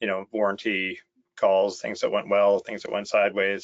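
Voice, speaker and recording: The speaker is a man with a Canadian accent. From Ontario, Canada. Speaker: software company director of operations. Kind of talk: webinar interview.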